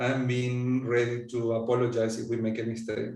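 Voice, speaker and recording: A medium-pitched man with an Argentine accent, with audible room echo. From Argentina. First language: Spanish. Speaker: coaching supervisor. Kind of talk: interview.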